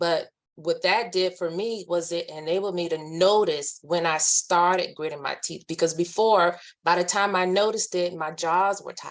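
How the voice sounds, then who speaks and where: In a calm tone, a woman with a fairly low voice speaks at a moderate pace with fairly even intonation. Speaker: army veteran, webinar speaker. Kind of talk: webinar presentation. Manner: halting.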